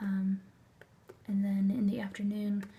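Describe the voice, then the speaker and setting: Soft-spoken and somewhat breathy, a woman speaks fairly slowly at medium pitch in a dark, mellow tone. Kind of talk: ASMR unboxing talk to camera.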